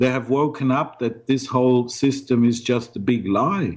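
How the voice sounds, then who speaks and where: In a German-speaking European accent, a man talks fairly slowly at a medium pitch. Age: 60s. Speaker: ex-investment banker and blogger. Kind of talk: interview. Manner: halting, with frequent repetitions.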